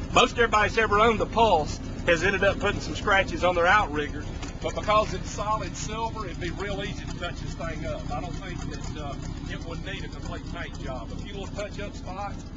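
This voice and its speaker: Noticeable background noise sits behind a speaker with a Southern US accent talking at a fairly quick pace. The loudness swings widely while the intonation stays fairly even. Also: man, high pitch for a man. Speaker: auctioneer. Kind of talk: casual walkaround talk to camera. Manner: relaxed, conversational.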